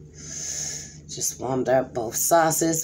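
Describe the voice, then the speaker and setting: A woman speaks very slowly in a dark, mellow tone with ordinary pitch variation. Audible room echo fills the recording. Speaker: mukbang YouTuber. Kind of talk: casual vlog talk while eating.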